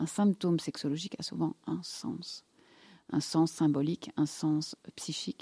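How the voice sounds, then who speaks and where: A woman speaks at a fairly slow pace with a fairly low pitch and a dark, mellow tone. Her pitch varies in an ordinary way, and the sound is dry and close with no echo. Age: 50s. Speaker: gynecologist and sexologist. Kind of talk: casual interview. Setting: studio.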